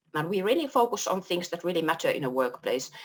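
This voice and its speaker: A woman with a Finnish accent talks at a fairly quick pace in a fairly low pitch. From Finland. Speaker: workplace culture consultant. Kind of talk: panel discussion.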